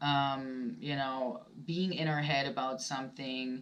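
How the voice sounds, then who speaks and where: A woman speaks at a very slow pace. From Germany. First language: German. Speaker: tarot reader. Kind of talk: tarot reading. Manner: halting, many fillers.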